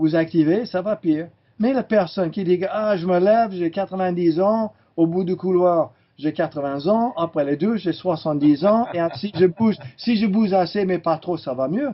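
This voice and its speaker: A man's high voice with ordinary pitch variation at a moderate pace. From California, US. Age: 60s. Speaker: chiropractor. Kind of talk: interview.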